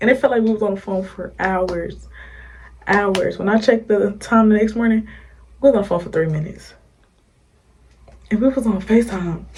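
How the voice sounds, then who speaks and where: A woman is whispering. Her pace is moderate. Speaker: YouTuber. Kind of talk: storytime.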